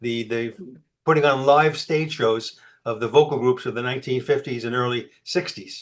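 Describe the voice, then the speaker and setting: A man with a New York accent talks at a fairly quick pace, his pitch rising and falling in an ordinary way. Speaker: presenter at a tech user group. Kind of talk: presentation; recorded video tour.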